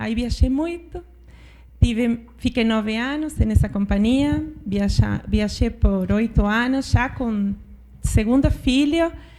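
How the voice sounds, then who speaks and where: A woman's fairly high voice, dark and mellow in tone, moves at a very slow pace with ordinary pitch variation. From Argentina, interior. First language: Spanish (speaking Portuguese). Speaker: finance executive. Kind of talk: panel discussion. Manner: halting, with false starts.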